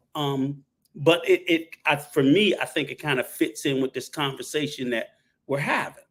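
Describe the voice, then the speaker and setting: With an ordinary speaking voice, this man speaks at a moderate pace in a fairly high pitch, his intonation fairly even. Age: 60s. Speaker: panel guest, traveler. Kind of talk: live panel discussion. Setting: live stream panel.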